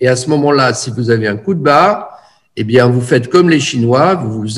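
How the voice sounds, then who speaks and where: Somewhat breathy and medium in pitch, a man speaks with ordinary pitch variation in audible room echo. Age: 70s. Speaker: energy therapist and teacher. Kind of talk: lecture. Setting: video call. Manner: halting.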